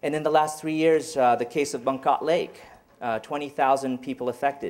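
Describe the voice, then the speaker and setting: A man is speaking. He goes at a fairly quick pace. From Cambodian-born, raised in France then US. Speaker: professor. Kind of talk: lecture. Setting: stage with audience. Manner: halting. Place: meeting room. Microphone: handheld.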